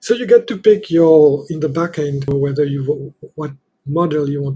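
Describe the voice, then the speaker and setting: A man with a non-native accent speaks at a fairly slow pace in a somewhat breathy, dark, mellow tone pitched fairly high. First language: not English. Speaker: software developer demonstrating own app. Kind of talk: software demo tutorial. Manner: halting, many fillers.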